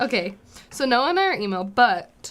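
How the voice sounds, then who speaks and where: A woman with a bright, sharp tone. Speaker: college radio show co-host. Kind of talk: casual chat. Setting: live college radio studio. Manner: stammering, halting when reading.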